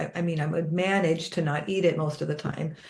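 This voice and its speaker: A woman talks at a moderate pace with a fairly low pitch, vocal fry and fairly even intonation. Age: 60s. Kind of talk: casual conversation.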